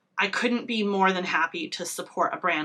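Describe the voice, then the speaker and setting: Fairly quick speech from a woman with ordinary pitch variation, amid noticeable background noise. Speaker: beauty vlogger. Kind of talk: casual makeup review. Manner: halting, many fillers.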